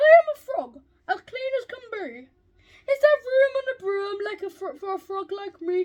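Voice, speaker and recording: At a moderate pace, a woman uses a put-on character voice pitched extremely high. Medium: read story.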